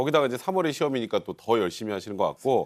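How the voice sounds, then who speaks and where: The recording is very clean, with a silent background. A man at medium pitch makes very wide pitch swings. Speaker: TV talk show panelist. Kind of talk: TV talk show commentary, explanatory.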